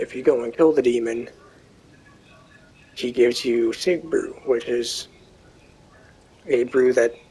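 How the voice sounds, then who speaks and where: A man at a medium pitch speaks at a fairly slow pace with fairly even intonation over noticeable background noise. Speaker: gaming youtuber. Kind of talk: gameplay commentary. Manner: casual.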